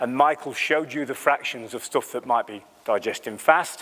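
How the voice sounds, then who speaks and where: A man talks at a very fast pace in a fairly high pitch. His tone is animated. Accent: English. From England, Lincolnshire. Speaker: animal nutritionist. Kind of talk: conference talk. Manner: conversational, animated.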